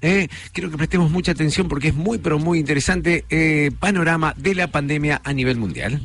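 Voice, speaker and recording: An unremarkable speaking voice comes from a man at a fairly quick pace. His pitch is fairly high, with ordinary variation. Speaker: radio host. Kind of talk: radio magazine show, interviews.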